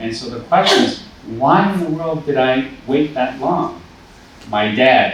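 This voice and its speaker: Amid noticeable background noise and audible room echo, a man with a Boston accent speaks fairly slowly at medium pitch, with very wide pitch swings. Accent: American English, Boston area. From Taiwan, then US from age eight. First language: Mandarin Chinese. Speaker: school principal. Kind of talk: panel discussion. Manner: hesitant, many fillers.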